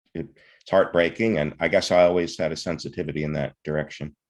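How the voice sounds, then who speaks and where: Speaking at a fairly quick pace with an American accent, a man uses a very deep, low voice against a quiet background. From US South, southeast Texas. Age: 60s. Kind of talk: interview. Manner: halting, many fillers.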